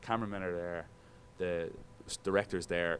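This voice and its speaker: Talking at a very fast pace, a man with a very deep, low voice speaks with an Irish accent. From Ireland, Dublin. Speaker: sports broadcaster. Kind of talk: guest talk to broadcasting students. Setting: classroom. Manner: casual, animated.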